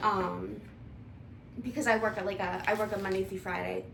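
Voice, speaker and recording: Mumbling from a woman with an American accent, in audible room echo. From US Midwest, Toledo, Ohio. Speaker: vlogger, IT analyst. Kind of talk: casual cooking vlog chat.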